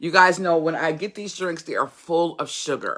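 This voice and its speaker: A woman speaks loudly at a moderate pace in a fairly low pitch. Her tone is bright and sharp, with ordinary pitch variation. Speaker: YouTube vlogger / motivational podcaster. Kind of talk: casual livestream chat.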